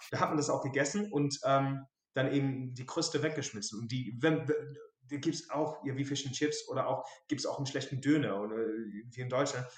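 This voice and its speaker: This man's voice is fairly high and somewhat breathy. His pitch varies in an ordinary way. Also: moderate pace. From southern England, Dorset. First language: English (speaking German). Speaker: English expat sharing his home cuisine. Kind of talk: casual interview.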